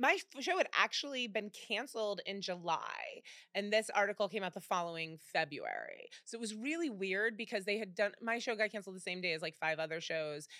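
A woman speaks at a fairly quick pace in a bright, sharp tone, recorded very cleanly against a silent background. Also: medium pitch for a woman. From US Midwest, Cleveland. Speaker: celebrity chef. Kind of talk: casual chat.

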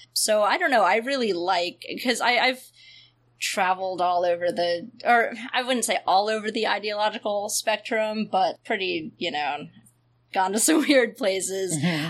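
This woman has an unremarkable speaking voice, medium in pitch, with lively intonation at a moderate pace. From US South. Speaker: podcast host. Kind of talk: casual chat.

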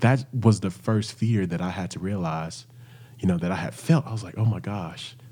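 A man with a Southern US accent speaks at a moderate pace and a fairly low pitch. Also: ordinary pitch variation. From Arkansas, near Little Rock. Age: 30s. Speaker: singer, author and entrepreneur. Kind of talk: interview conversation.

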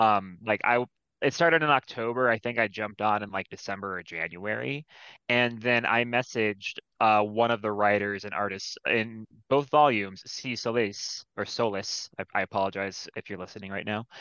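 A man with a normal speaking voice and a fairly low pitch talks at a moderate pace, with ordinary pitch variation. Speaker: comic anthology editor. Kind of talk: casual chat. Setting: video call.

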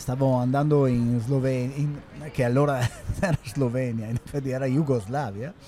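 A man's fairly even intonation against noticeable background noise. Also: medium pitch for a man, moderate pace. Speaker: podcast host. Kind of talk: casual discussion.

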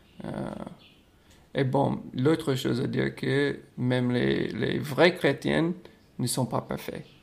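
This man speaks with an American accent. His pace is very slow. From United States. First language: English (speaking French). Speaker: podcast host. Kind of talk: casual chat.

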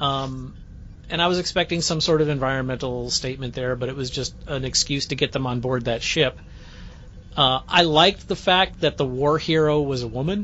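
This man, with a medium pitch and ordinary pitch variation, has an unremarkable speaking voice. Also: moderate pace. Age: 50s. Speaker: podcast host. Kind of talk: casual chat.

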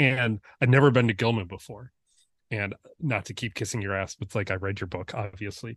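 A man with an American accent, fairly low-pitched and somewhat breathy, at a fairly quick pace with ordinary pitch variation, in a dry, close sound with no echo. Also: quiet background. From US Midwest, Detroit suburbs. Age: 40s. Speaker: photographer. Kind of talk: casual chat.

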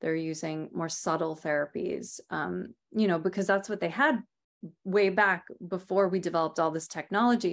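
In a very clean recording with a silent background, a woman talks at a moderate pace with an American accent. She has an ordinary speaking voice, fairly low in pitch, with ordinary pitch variation. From Rhode Island, US. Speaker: Ayurvedic practitioner and author. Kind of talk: interview.

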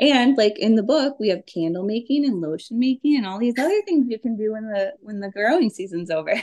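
Speaking fairly quickly in an Upper Midwest accent, a woman with a fairly high voice uses lively intonation over a dry, close sound with no echo. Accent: Upper Midwest (Minnesota). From Minnesota. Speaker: homesteading author. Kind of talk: casual interview.

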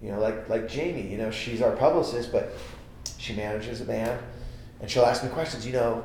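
With an American accent, a man speaks amid noticeable background noise and audible room echo. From US West Coast, San Jose, California. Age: 40s. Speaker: comedian and record label founder. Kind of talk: casual chat. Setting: studio.

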